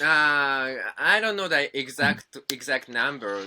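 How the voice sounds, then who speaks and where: A man in a Japanese accent speaks very slowly with a fairly high, bright, sharp voice and very wide pitch swings. The recording is very clean, with a silent background. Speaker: musician. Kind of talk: interview. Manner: halting.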